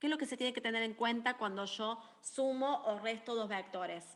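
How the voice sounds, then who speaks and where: The speech moves at a fairly slow pace. Its tone is bright and sharp. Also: woman. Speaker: university maths tutor. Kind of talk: lecture. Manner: animated.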